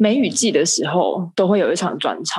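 Using a plain, everyday voice, a woman speaks at a fairly quick pace and medium pitch with lively intonation. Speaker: medical student and amateur theatre actor. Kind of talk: casual chat. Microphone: poor internet connection.

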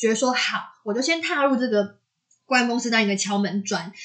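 A woman with a Taiwanese accent, lively intonation and a fairly quick pace. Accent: Taiwanese Mandarin. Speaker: podcast co-host. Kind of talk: casual chat.

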